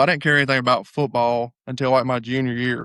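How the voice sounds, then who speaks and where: This man has a Southern US accent and a medium pitch, speaking at a fairly quick pace with fairly even intonation. The recording is very clean and dry, close with no echo, on a silent background. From US South. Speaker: hunting guide and former college football player. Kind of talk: casual chat.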